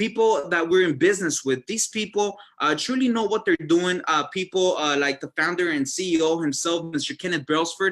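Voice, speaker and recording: A high-pitched man at a moderate pace, ordinary pitch variation and hardly any pauses. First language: Spanish. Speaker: network marketing distributor. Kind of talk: sales presentation. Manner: hesitant, many fillers.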